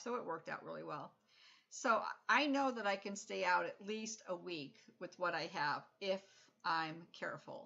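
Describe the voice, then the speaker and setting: Fairly low in pitch, a woman speaks with lively intonation and vocal fry. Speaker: RV vlogger. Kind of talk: casual vlog monologue. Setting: at home.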